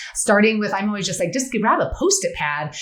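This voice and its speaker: Amid noticeable background noise and audible room echo, a woman talks very fast in an animated tone at a fairly high pitch. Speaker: friendship expert and author. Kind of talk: podcast interview.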